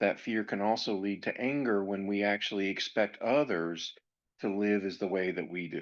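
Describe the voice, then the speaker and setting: With an American accent and fairly even intonation, a man talks in an ordinary speaking voice against a quiet background. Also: fairly low pitch for a man, moderate pace. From grew up in a US military family. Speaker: podcast host on anger management. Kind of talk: educational podcast monologue.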